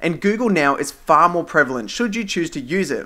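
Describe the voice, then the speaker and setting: Bright and sharp in tone, the voice moves at a fairly quick pace with lively intonation and an Australian accent. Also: man. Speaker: tech reviewer. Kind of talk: scripted review narration. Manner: formal.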